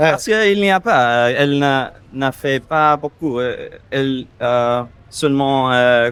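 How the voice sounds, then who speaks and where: A fairly high-pitched man in an English accent, ordinary pitch variation and a very slow pace. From US, Minnesota. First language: English (speaking French). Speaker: expat. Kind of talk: casual interview. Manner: halting.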